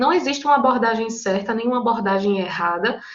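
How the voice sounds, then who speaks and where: A woman talks at a fairly quick pace. Room echo is audible around her voice. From Brazil, Paraíba (João Pessoa). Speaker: psychologist and teacher leading study group. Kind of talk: online lecture to study group. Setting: online video meeting. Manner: conversational, informal.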